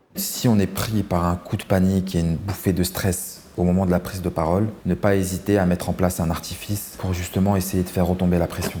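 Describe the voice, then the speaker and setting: A man's very deep, low voice at a fairly quick pace, monotone and flat, with hardly any pauses and noticeable background noise. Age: 30s. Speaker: lawyer. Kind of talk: interview testimony. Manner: casual, slangy.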